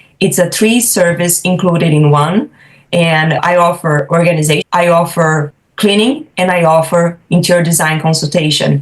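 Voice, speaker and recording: Fairly low-pitched and somewhat breathy, a woman speaks with fairly even intonation at a moderate pace. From Brazil. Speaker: professional home organizer. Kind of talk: podcast interview.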